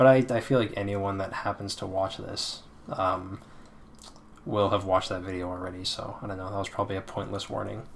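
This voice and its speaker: A man with a fairly low pitch speaks fairly quickly in a monotone, flat delivery, with big swings in loudness. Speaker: video game critic youtuber. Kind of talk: casual unscripted monologue. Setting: away from usual recording space. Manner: quiet, trying not to be loud; low energy, hesitant with many fillers. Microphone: poor mic quality.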